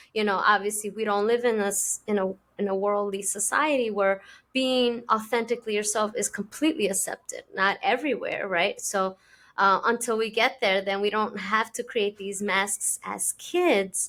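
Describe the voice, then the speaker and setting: Heard on a very clean recording with a silent background, the speaker uses a Spanish accent, ordinary pitch variation and a moderate pace. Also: woman, fairly high pitch for a woman. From immigrant to an English-speaking country. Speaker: podcast host. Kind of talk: casual interview chat.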